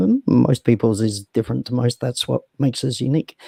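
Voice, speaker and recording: A man's dark, mellow, medium-pitched voice comes at a moderate pace, dry and close with no echo. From England, south London (Sydenham). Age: 40s. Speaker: founder of a social platform. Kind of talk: interview talk. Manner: hesitant, many fillers.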